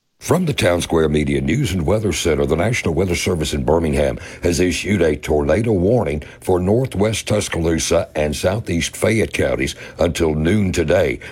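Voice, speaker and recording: Noticeable background noise sits behind speech at a moderate pace, with lively intonation and very even loudness. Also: man, very deep, low pitch for a man. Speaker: radio news and weather reader. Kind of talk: news reading.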